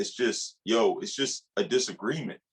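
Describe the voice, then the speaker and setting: A man talks loudly with vocal fry. His pitch swings very widely. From Jamaica. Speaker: podcast co-host, father. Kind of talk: casual chat.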